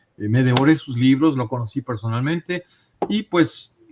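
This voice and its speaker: In a dry, close sound with no echo, a man speaks in a dark, mellow tone with ordinary pitch variation. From Mexico City. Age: 60s. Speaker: interviewee on UFO and paranormal topics. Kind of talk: interview testimony. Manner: hesitant, with frequent fillers.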